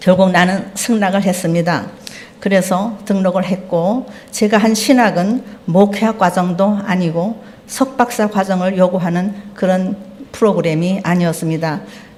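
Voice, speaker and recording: A woman speaks at a fairly slow pace with a medium pitch and fairly even intonation. Room echo is audible and background noise is noticeable. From North Korea, Pyongyang. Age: 70s. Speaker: lay church member preaching. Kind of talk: sermon testimony. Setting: church service.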